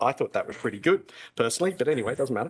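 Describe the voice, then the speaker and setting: A man speaks with an Australian accent. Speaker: classics academic. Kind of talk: debate speech. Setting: stage with audience. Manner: animated.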